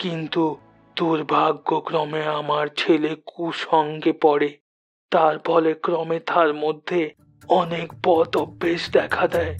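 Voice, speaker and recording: A raspy, cartoonish character voice at middle pitch. It moves at a very slow pace while faint music plays in the background. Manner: calm, measured, unhurried.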